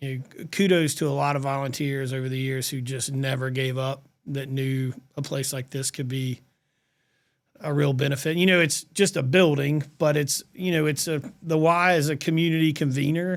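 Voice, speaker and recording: A man with a South Carolina accent talks on a very clean recording with a silent background. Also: fairly high pitch for a man, fairly even intonation, moderate pace. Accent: Southern US (South Carolina). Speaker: nonprofit executive. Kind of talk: podcast interview.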